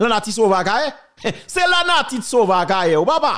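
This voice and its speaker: Music plays behind a man with a high-pitched voice and lively intonation. He keeps to a moderate pace. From Haiti. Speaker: political commentator. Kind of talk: heated commentary. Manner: animated; emphatic.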